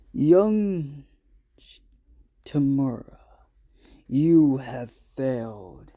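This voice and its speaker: A man's put-on character voice at medium pitch, lively in intonation, very slow, with long, frequent pauses. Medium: solo performance. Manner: calm, measured.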